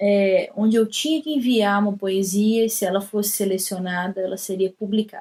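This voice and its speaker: In a Minas Gerais accent, a woman speaks at a medium pitch with fairly even intonation. Her tone is dark and mellow and somewhat breathy. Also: moderate pace, hardly any pauses. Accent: Brazilian Portuguese, Minas Gerais. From Brazil, Belo Horizonte (Minas Gerais). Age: 30s. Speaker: poet and writer. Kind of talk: recorded personal talk to camera. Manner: casual, with hesitations.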